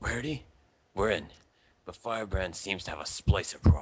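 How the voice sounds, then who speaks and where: In a raspy, put-on character voice, a man speaks at a fairly low pitch and a moderate pace. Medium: read story.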